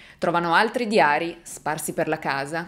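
A woman's voice makes very wide pitch swings. Her tone is dramatic. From Italy. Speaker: true crime youtuber. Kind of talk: true-crime narration to camera. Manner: suspenseful, engaged storytelling, dramatic. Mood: serious, suspenseful. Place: home room.

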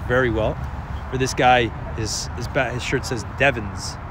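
A man speaks with a dry sound and no echo. Noticeable background noise runs underneath. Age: 30s. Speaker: amateur football commentator; amateur match commentator. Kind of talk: live commentary. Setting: outdoors. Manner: casual. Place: stadium. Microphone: phone near.

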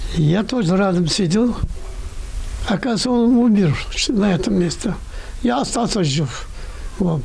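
The pitch variation is ordinary as a man talks. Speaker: elderly war veteran. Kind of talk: interview answer. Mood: reminiscing, earnest. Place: home room. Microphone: handheld.

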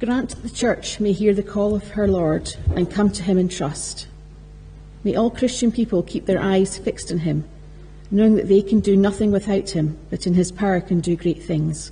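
A woman with an unremarkable speaking voice talks at a medium pitch and moderate pace, her intonation fairly even. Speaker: lector reading scripture. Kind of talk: reading aloud scripture. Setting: church. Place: church. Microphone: podium.

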